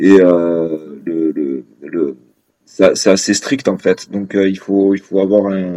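Here a man speaks at a fairly low pitch with a dark, mellow tone. His intonation stays fairly even. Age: 30s. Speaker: restaurant manager and father. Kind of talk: interview testimony. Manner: hesitant, many fillers.

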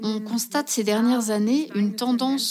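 Speaking fairly slowly, a woman with a fairly high voice uses ordinary pitch variation as noticeable background noise continues. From Germany. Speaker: economist. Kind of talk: interview. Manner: formal.

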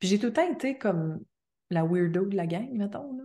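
Against a quiet background, a woman's dark, mellow voice moves through very wide pitch swings. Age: 30s. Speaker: astrologer. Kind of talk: casual interview.

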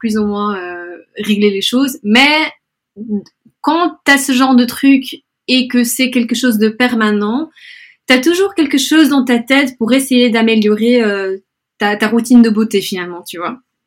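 Long, frequent pauses break up speech that goes at a fairly slow pace with ordinary pitch variation. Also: woman. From Belgium, Brussels, Spanish family. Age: 20s. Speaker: influencer. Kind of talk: interview. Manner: hesitant, many fillers.

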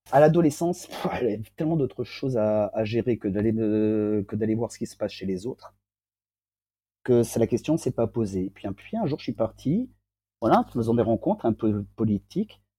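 Dry and close with no echo, the recording has a man speaking at a moderate pace and medium pitch, in a dark, mellow tone with ordinary pitch variation. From southern France. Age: 40s. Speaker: interviewee sharing personal testimony. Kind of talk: personal testimony interview. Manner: hesitant, many fillers.

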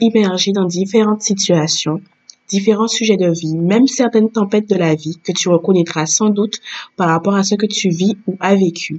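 At a moderate speed, the dark, mellow tone carries ordinary variation in pitch. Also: woman. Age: 30s. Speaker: podcast host. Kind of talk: scripted intro.

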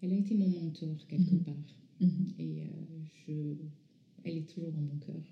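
Delivered at a moderate pace with fairly even intonation, the voice is somewhat breathy and dark and mellow in tone, with long, frequent pauses and big swings in loudness. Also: woman, fairly low pitch for a woman. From France, from age 11; born in North Africa to Iranian parents. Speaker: visual artist, former architect. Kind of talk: interview. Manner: halting.

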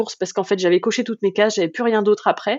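Medium pitch and ordinary pitch variation from a woman. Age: 30s. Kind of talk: casual interview testimony. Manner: hesitant, many filler sounds.

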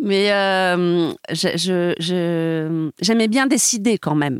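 In a very clean recording with a silent background and a dry, close sound with no echo, a woman speaks at a medium pitch with lively intonation. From southern France, Montpellier, then Paris from adolescence. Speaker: music label brand partnerships executive. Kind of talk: interview conversation. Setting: recording studio. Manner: dynamic and enthusiastic.

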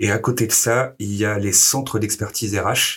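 On a very clean recording with a silent background, a man speaks in monotone, flat intonation. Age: 30s. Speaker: HR business partner. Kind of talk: interview. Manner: hesitant with fillers.

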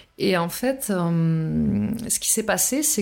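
Medium-pitched woman's speech over noticeable background noise. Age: 40s. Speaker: testimony guest on abusive relationship. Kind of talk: testimony.

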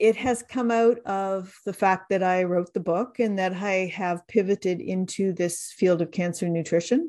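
Over a quiet background, a woman with a Canadian accent speaks at a moderate pace and medium pitch, her tone dark and mellow, with hardly any pauses. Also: fairly even intonation. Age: 60s. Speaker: dietitian and cancer survivor. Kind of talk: interview testimony.

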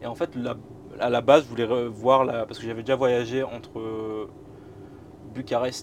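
A man speaks in a normal speaking voice at a medium pitch. His intonation stays fairly even. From northern France, Boulogne-sur-Mer. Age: 20s. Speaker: YouTuber, train travel creator. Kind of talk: casual interview, travel story. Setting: inside a parked historic train.

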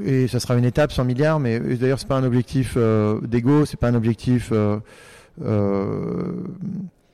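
A man's dark, mellow voice at a medium pitch, fairly slow in pace with ordinary pitch variation, on a very clean recording with a silent background. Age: 40s. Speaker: tech company CEO. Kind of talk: interview. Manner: hesitant, many fillers.

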